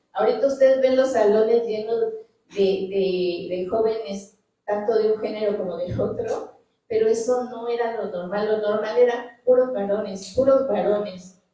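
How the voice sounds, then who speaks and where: Audible room echo surrounds a woman with a fairly high pitch. She speaks at a fairly slow pace with fairly even intonation. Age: 60s. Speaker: scientist. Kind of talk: panel talk. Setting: auditorium with audience.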